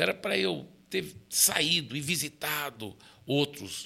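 A man speaks with a bright, sharp tone and vocal fry. His pitch is fairly high. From Brazil, raised by American missionary parents. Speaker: pastor. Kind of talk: interview conversation.

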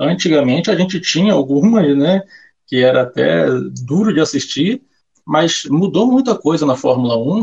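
Lively intonation marks this man's somewhat breathy voice. He keeps a moderate pace. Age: 20s. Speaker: motorsport betting tipster. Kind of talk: casual interview.

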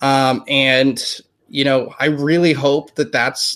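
Recorded very cleanly against a silent background, a man with an American accent speaks at a very slow pace. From United States. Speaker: news anchor. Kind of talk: interview. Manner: halting, many fillers.

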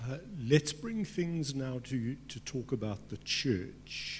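A very slow, somewhat breathy delivery. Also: man. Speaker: panel moderator. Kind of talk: panel discussion. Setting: stage with audience.

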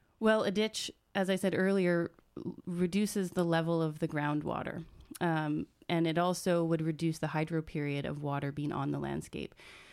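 Fairly even intonation and a moderate pace in an unremarkable speaking voice. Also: woman, fairly low pitch for a woman, very clean recording, silent background. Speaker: gardener and landscape designer. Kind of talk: interview.

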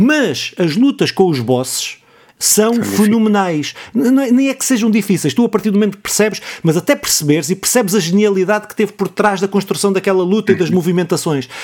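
A man speaks in a high pitch at a fairly quick pace. His intonation is lively. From Portugal, Ribatejo. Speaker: podcast host. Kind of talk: casual chat.

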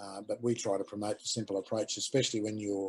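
Talking very fast, a man speaks in an Australian accent. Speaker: aquaponics educator. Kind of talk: casual interview chat. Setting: video call.

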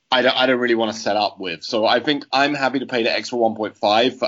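A man with a British accent at a fairly quick pace, with ordinary pitch variation. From Britain. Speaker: fantasy football player. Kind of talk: casual chat.

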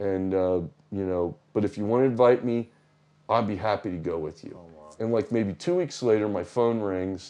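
Fairly low-pitched male voice with an American accent, a dark, mellow tone, ordinary pitch variation and a moderate pace. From United States. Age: 60s. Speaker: retired businessman. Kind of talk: casual interview. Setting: in person, small village on pilgrimage.

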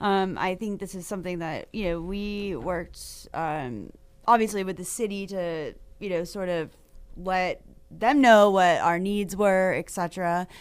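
In an American accent, a woman with a normal speaking voice talks at a fairly slow pace and medium pitch, with ordinary pitch variation and big swings in loudness, on a very clean recording with a silent background. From Maine, US. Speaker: realtor association government affairs director. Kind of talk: radio interview.

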